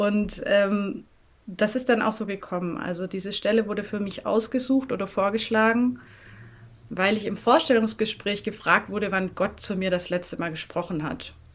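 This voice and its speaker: A woman speaks at a medium pitch. She has a slight southern German accent. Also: ordinary pitch variation, moderate pace. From Swabia, southern Germany (near Tübingen/Böblingen). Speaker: NGO coordinator. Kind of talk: interview.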